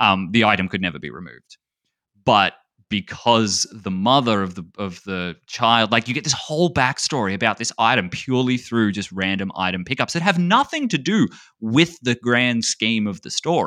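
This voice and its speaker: A man with an Australian accent speaks at medium pitch with a bright, sharp tone, lively intonation and big swings in loudness. The sound is dry and close with no echo, in a very clean recording with a silent background. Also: moderate pace. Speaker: speedrunner and streamer. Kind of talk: casual chat.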